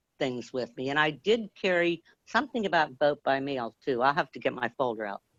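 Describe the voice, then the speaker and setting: A loud woman speaks at a moderate pace with a very deep, low pitch and very wide pitch swings. The sound is dry and close with no echo, and the background is quiet. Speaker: grassroots activist. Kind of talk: casual chat. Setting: live video stream.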